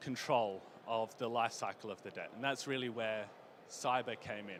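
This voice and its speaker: Here a man speaks at a medium pitch. His intonation stays fairly even. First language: not Portuguese. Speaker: conference speaker, consultant. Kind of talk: conference presentation.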